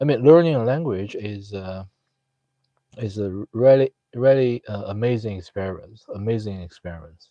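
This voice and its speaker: Recorded with a dry, close sound and no echo, a man with a Chinese accent talks in a dark, mellow tone of fairly low pitch with lively intonation. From China. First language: Mandarin Chinese. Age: 30s. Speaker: live streamer. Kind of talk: casual chat. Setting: live stream chat room. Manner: halting, many fillers.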